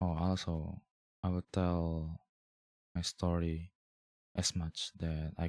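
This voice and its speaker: In a non-native accent, a man speaks with a very deep, low pitch and monotone, flat intonation. The sound is dry and close with no echo. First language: not English. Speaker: vlogger. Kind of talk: casual personal monologue, video diary. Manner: hesitant, rambling.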